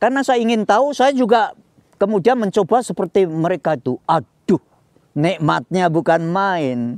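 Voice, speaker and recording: A man with a Javanese accent speaks at a high pitch with very wide pitch swings, in a dry sound with no echo against a quiet background. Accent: Javanese-accented Indonesian (medok). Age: 80s+. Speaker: Indonesian exile and retiree; interviewee. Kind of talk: interview, life story. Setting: outdoors in a garden. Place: garden.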